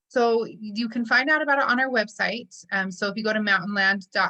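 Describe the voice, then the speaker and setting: A plain, everyday voice belongs to this woman. She goes at a fairly quick pace with ordinary pitch variation. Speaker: social services presenter. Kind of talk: webinar Q&A.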